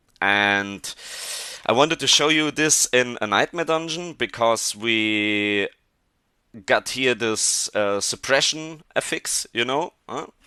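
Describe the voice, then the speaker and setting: Recorded dry and close with no echo against a quiet background, a man at medium pitch talks very slowly with lively intonation and a bright, sharp tone. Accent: German. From Germany. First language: German. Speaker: gaming video creator. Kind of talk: gameplay tutorial. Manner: halting.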